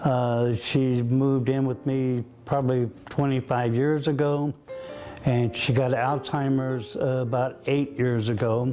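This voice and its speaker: With music in the background, a man speaks at a fairly slow pace. His pitch is medium and his intonation monotone and flat. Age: 70s. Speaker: full-time caregiver. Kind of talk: interview answer.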